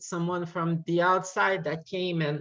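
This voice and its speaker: Speaking at a fairly slow pace, a woman uses a fairly low voice. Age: 30s. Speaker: class participant. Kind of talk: class discussion. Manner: hesitant. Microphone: unstable connection, breaking up.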